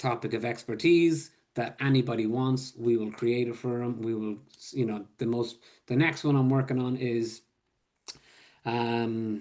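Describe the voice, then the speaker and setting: A man with an Irish accent speaks at a medium pitch. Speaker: public health supervisor. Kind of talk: webinar presentation. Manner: casual, filler-heavy.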